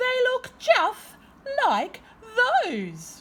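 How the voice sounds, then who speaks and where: A woman uses a put-on character voice that is squeaky and extremely high. Her pitch swings very widely. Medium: read story. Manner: grumpy, suspicious.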